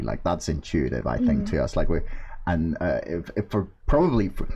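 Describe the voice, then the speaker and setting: With lively intonation and a fairly quick pace, this man's dark, mellow voice sounds somewhat breathy. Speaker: podcast host. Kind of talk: casual podcast conversation.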